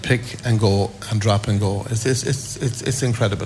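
Speaking in a west of Ireland accent, a man uses a medium pitch and moderate pace. Noticeable background noise and audible room echo surround him. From County Mayo, Ireland. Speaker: parent meeting arrivals. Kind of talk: vox pop interview. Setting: airport arrivals hall.

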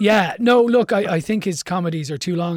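A man with an Irish accent, at a fairly quick pace. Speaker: radio host. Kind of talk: radio show presenter, interviewing. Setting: radio studio.

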